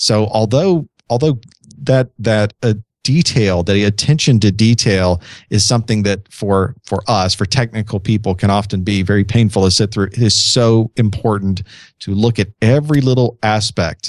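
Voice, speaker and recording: A man's plain, everyday voice, fairly low in pitch, with ordinary pitch variation and a moderate pace, in a dry, close sound with no echo and a quiet background. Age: 40s. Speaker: IT trainer and podcaster. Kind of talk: casual chat.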